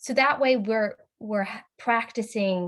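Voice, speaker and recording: This is a woman with a plain, everyday voice. She speaks at a moderate pace. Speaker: student facilitator in training. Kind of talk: practice speech review in a video call. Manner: casual, many fillers.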